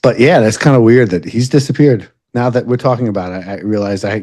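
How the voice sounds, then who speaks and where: A man talks with a New York accent. The background is quiet. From Long Island, New York. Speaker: podcast co-host, bike shop worker. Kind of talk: casual chat. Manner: halting, many fillers.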